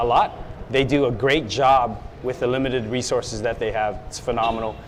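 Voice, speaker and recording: The speaker has an American accent and talks at a fairly quick pace in a monotone, flat intonation. Noticeable background noise runs through the clip. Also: man, medium pitch for a man. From US, San Francisco area. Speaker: police officer. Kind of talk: TV interview.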